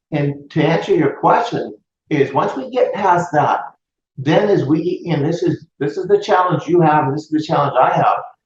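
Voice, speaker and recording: With an American accent, the pitch varies in an ordinary way. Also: man, high pitch for a man, moderate pace. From US West Coast. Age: 60s. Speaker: real estate and mortgage business owner. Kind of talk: interview.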